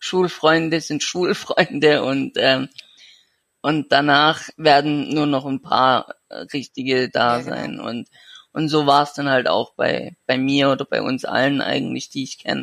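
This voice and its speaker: The recording is dry and close with no echo as a man with fairly high pitch speaks at a fairly slow pace with fairly even intonation. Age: 20s. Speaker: young man with a severe genetic illness. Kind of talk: interview. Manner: halting.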